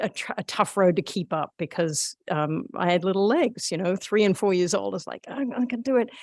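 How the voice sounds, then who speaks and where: Recorded very cleanly with a silent background and a dry, close sound with no echo, a woman with a slight Australian accent speaks fairly quickly at a fairly low pitch. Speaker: meeting facilitator. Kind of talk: public meeting. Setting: in-person meeting room. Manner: halting, many fillers.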